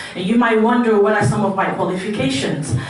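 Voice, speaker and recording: A woman speaks at a medium pitch. The recording has audible room echo and noticeable background noise. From Nigeria and London. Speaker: political candidate. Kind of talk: candidate forum speech.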